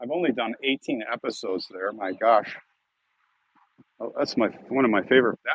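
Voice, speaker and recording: A man with an American accent talks at a moderate pace and medium pitch. His pitch varies in an ordinary way, and he takes long, frequent pauses. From Chicago, US Midwest. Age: 60s. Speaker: cemetery video creator and live streamer. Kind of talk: live stream chat with viewers. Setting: outdoors in a cemetery. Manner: casual, rambling, halting.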